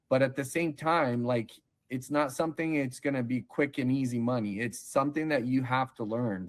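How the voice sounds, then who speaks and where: A man's normal speaking voice at medium pitch, fairly quick in pace, with ordinary pitch variation. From Brazil, moved to US as child in 1991. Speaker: online seller, case-study interviewee. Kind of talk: interview. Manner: casual, conversational.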